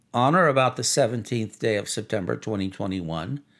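A man's ordinary speaking voice with lively intonation at a moderate pace, in a very clean recording with a silent background. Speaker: podcast narrator. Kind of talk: formal legal reading aloud of an indictment. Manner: formal.

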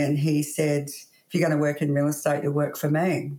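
A woman speaks with an Australian accent. Her pitch is very deep and low. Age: 50s. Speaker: real estate agency owner. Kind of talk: interview.

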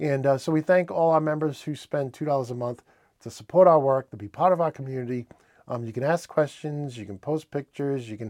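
On a very clean recording with a silent background, a man with a New England accent talks fairly quickly at a fairly high pitch, with big swings in loudness. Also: dry, close sound with no echo. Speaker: industrial automation news presenter. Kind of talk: news roundup, solo presentation. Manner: casual, friendly, with filler words.

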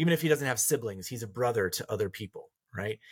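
Somewhat breathy, a man with an American accent shows ordinary pitch variation in a dry, close sound with no echo. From rural Colorado. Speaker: counselor and author. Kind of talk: interview conversation.

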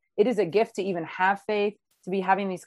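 A woman speaks at a moderate pace with medium pitch. It is an ordinary speaking voice. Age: 30s. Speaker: online series host. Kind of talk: casual interview chat.

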